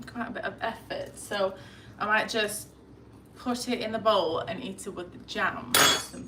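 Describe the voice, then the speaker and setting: A woman's fairly high-pitched voice at a fairly slow pace, with audible room echo and noticeable background noise. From Lithuania. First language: Lithuanian. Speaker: lifestyle vlogger. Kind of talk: casual chat. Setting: live stream at home. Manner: hesitant.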